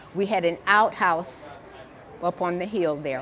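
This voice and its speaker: Heard with audible room echo, a woman speaks at a fairly slow pace with ordinary pitch variation. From US South, central Florida. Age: 80s+. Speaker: retired teacher. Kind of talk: oral history interview.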